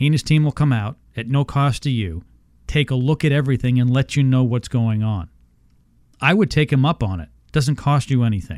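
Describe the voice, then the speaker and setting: A man with an American accent and a plain, everyday voice talks at a fairly quick pace with a medium pitch and ordinary pitch variation, in a dry, close sound with no echo. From Houston, Texas. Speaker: radio host. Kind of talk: radio ad pitch, read-out promo with repeated phone numbers. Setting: studio. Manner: brisk, upbeat salesman delivery, repeats numbers twice.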